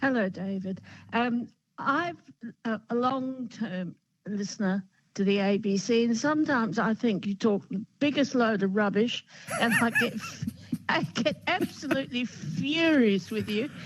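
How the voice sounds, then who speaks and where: Speaking with an Australian accent, a woman uses lively intonation at a fairly slow pace and a fairly high pitch. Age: 80s+. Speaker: caller. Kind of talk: radio talkback call.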